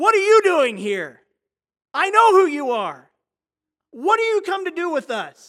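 In a put-on character voice, someone shouts at an extremely high, shrill pitch with very wide swings, keeping a moderate pace broken by long, frequent pauses. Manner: yelling, screeching.

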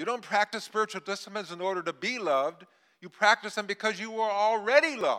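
A man speaks in an energetic, raised and projected voice with a bright, sharp tone, high-pitched for a man, at a very fast pace. His loudness swings widely, and the sound is dry and close with no echo. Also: ordinary pitch variation. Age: 80s+. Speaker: visiting preacher and leadership coach. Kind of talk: sermon.

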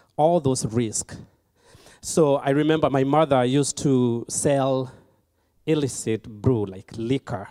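A man talks at a fairly slow pace in a medium pitch, his tone dark and mellow, with ordinary pitch variation. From Kenya. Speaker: charity program graduate. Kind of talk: testimony. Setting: church.

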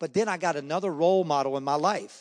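Recorded with a dry, close sound with no echo and a quiet background, a man speaks with ordinary pitch variation. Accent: Southern US. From US South, Charlotte, North Carolina. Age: 60s. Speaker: former baseball player. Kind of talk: testimony. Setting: church. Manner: fast talker.

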